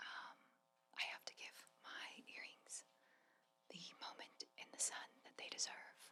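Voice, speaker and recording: The voice is a whisper at a fairly slow pace. Long, frequent pauses break it up. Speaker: ASMR creator. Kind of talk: soft-spoken ASMR rambling. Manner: soft-spoken.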